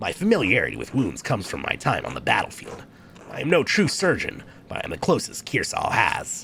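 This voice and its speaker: A man puts on a gruff, gravelly character voice at a fairly high pitch, talking fairly quickly against clear background noise. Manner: gruff soldier.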